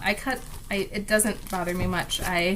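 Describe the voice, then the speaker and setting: This woman's voice carries audible room echo along with noticeable background noise. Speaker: craft vlogger. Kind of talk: casual chat. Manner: animated.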